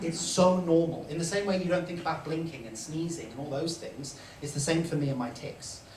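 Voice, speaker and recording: Fairly quick, fairly even speech from a man with a fairly high pitch, over noticeable background noise. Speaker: Tourette syndrome advocate. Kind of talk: live storytelling on stage. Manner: vocal tics interrupt speech.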